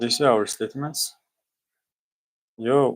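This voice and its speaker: A man with a non-native accent talks at a moderate pace with fairly even intonation. The recording is very clean, with a silent background. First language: not English. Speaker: student streamer. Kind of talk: study-with-me livestream, reading aloud and explaining. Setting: live stream with screen share. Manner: casual, halting.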